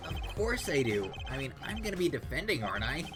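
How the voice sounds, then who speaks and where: A man uses a put-on character voice at a fairly quick pace. Loud background noise runs underneath. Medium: virtual streamer. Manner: exclamatory, flustered.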